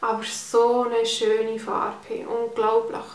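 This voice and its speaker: With a Swiss German accent, a woman speaks amid audible room echo. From Switzerland. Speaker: beauty vlogger. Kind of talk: casual talk to camera, product review. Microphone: phone near.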